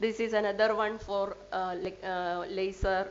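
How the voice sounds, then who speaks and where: Audible room echo surrounds a woman speaking at medium pitch with monotone, flat intonation. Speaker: scientist presenting research. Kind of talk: lecture. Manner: halting.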